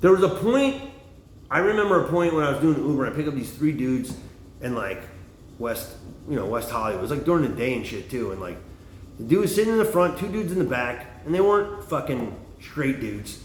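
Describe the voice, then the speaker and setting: A man speaks loudly at a very fast pace, breaking often into long pauses. His fairly high voice swings very widely in pitch, and the room echo is audible. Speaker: livestreamer, former bartender and comic. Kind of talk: casual monologue livestream. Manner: rambling, halting with fillers.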